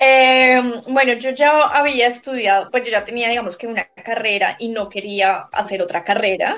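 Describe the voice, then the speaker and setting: In a plain, everyday voice, the woman talks fairly high in pitch, with ordinary pitch variation. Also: moderate pace, hardly any pauses. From Bogotá, Colombia. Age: 30s. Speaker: real estate agent. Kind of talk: interview.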